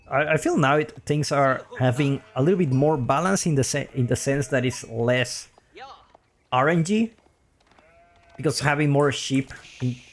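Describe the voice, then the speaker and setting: Music runs in the background as a man speaks at a moderate pace with long, frequent pauses. His fairly high voice holds very even loudness and ordinary pitch variation. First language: Spanish. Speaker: video game commentator. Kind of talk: live game commentary. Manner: casual, hesitant with fillers.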